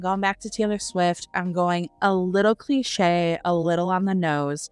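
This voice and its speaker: A woman speaks at a moderate pace in a normal speaking voice, her pitch fairly low. The sound is dry and close, with no echo. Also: very clean recording, silent background. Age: 30s. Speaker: book podcast co-host. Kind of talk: casual chat.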